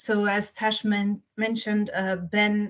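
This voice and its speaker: A woman's medium-pitched, somewhat breathy voice with a slight French accent, flat monotone intonation, and a quiet background. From Belgium. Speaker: children's book author. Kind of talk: interview talk. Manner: hesitant, many fillers.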